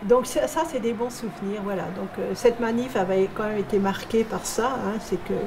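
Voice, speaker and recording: Over noticeable background noise, a woman with a fairly high pitch speaks at a moderate pace with hardly any pauses and ordinary pitch variation. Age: 70s. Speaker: retired shipyard secretary and trade unionist. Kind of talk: testimony. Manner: hesitant, many fillers.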